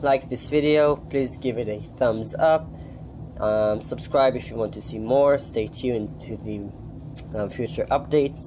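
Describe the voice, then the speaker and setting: A man with a non-native accent talks at a fairly slow pace in a medium pitch. His pitch variation is ordinary, and there is noticeable background noise. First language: not English. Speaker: aquarium hobbyist youtuber. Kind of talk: casual video update. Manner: halting, many ums.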